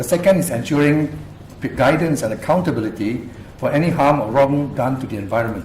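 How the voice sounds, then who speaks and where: A man talks at a fairly quick pace in a medium pitch. Room echo is audible and background noise is noticeable. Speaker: activist and researcher. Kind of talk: public talk presentation. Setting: university lecture room with audience. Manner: fast.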